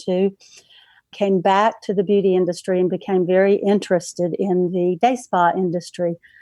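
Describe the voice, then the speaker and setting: With a North Carolina accent, the voice has a dark, mellow tone and fairly even intonation. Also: woman, dry, close sound with no echo. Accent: Southern US (North Carolina). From North Carolina, Charlotte. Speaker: practice management consultant. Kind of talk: interview.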